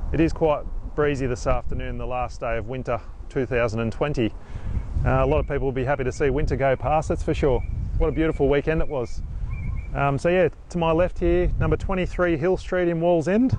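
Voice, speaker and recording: A man at a fairly quick pace, ordinary pitch variation, dry sound with no echo and light background noise. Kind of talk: live property walkthrough. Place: street. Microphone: phone near.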